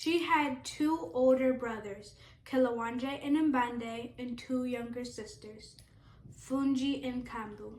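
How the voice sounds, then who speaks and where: Fairly slow speech from a woman at a high pitch, wrapped in audible room echo. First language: not English. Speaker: hairdresser and storyteller. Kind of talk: casual storytelling while doing hair. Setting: salon video with camera helper. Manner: chatty, informal.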